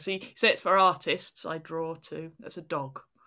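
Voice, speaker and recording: A woman's bright, sharp voice, fairly low in pitch, at a moderate pace with fairly even intonation. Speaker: comedian and author. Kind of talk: casual interview chat.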